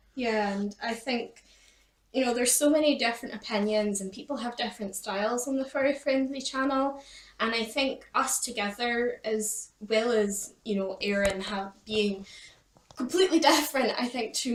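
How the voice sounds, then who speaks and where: A woman speaks with a Scottish accent. Her voice is fairly high. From Scotland. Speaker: pet YouTuber. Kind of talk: casual chat.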